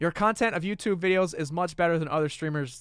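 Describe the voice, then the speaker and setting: This man has a normal speaking voice, fairly high in pitch with ordinary pitch variation, on a very clean recording with a silent background. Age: 20s. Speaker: gaming youtuber. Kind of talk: casual Q&A chat. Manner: casual, filler-heavy.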